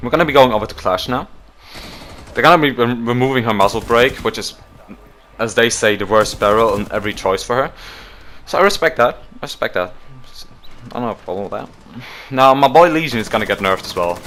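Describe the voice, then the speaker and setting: A man with a non-native accent talks very fast at a medium pitch, with lively intonation. He leaves long, frequent pauses. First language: not English. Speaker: gaming YouTuber. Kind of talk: casual commentary reading patch notes. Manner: hesitant, self-correcting.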